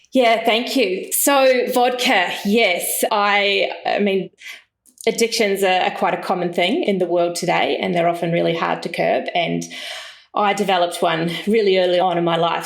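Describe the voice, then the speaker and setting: A woman's medium-pitched voice in a New Zealand accent, with ordinary pitch variation and very even loudness. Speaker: entrepreneur, business founder. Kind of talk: storytelling in podcast interview.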